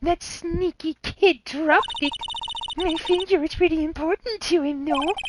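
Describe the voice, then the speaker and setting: In a put-on character voice pitched extremely high, a woman shows ordinary pitch variation, recorded dry and close with no echo. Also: moderate pace. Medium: game stream. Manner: gruff and chattering, tic of saying hello.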